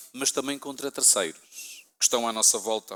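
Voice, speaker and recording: A man speaks in a European Portuguese accent. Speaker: pastor. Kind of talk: sermon.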